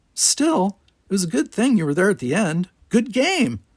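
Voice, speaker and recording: A man's put-on character voice, high in pitch with very wide pitch swings, at a moderate pace in a dry, close sound with no echo. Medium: read story. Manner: blunt, hearty.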